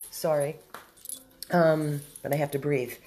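A very slow pace over music in the background. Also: woman. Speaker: dog rescue volunteer. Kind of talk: casual live video update.

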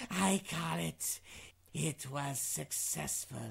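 In a put-on character voice, a female-sounding speaker rasps at a very deep, low pitch and a very slow pace. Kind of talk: horror host intro.

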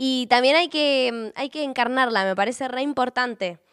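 A woman talks at a moderate speed, with a quiet background behind her. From Patagonia, Argentina (Puerto Madryn); Patagonia, Argentina. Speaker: singer-songwriter. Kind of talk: interview answers. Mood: warm, heartfelt. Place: studio. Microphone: handheld.

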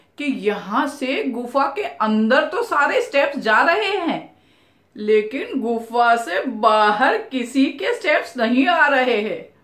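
In a high voice, a woman speaks very slowly against a quiet background with audible room echo. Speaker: storyteller. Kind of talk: storytelling narration with character voices. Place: home room.

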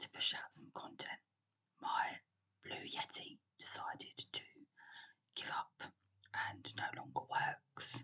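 Whispering very slowly in a calm tone, with long, frequent pauses. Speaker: ASMR creator. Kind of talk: whispered ASMR talk-through of a geography quiz. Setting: recorded on a laptop microphone. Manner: whispered, soft, calm.

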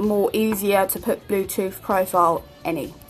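Music plays in the background. A woman with a British accent speaks at a moderate pace. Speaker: tutorial maker. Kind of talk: screen-recorded tech tutorial. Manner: casual, hesitant with fillers.

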